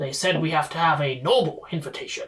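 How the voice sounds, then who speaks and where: A man performs a put-on character voice. He speaks at a fairly quick pace with a fairly high pitch. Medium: actual play. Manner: formal, slightly pompous.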